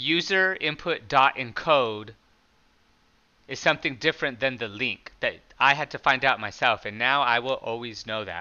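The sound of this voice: A loud man with a bright, sharp tone and medium pitch talks at a fairly slow pace, his intonation lively.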